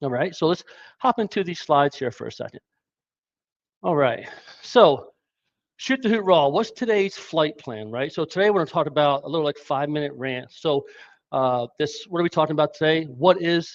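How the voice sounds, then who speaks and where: Pausing long and often, a man with a fairly high pitch is heard in a dry, close sound with no echo. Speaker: cybersecurity company co-founder and lead developer. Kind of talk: live stream presentation. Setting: live stream. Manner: fast; casual, unscripted.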